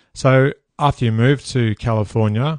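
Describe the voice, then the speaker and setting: In a dry, close sound with no echo and a quiet background, a man with an Australian accent speaks at a medium pitch with fairly even intonation. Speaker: podcast host. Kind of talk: interview.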